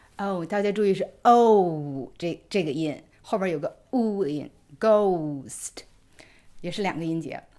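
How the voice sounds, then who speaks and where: The tone is dark and mellow, with lively intonation. The pace is very slow against a quiet background. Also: woman. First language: Mandarin Chinese. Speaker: English pronunciation teacher; co-host teacher. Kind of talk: tutorial. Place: home room.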